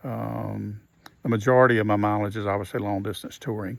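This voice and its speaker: A man speaking at a moderate pace. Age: 60s. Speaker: motorcycle touring vlogger. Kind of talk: casual vlog monologue. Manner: hesitant, many fillers.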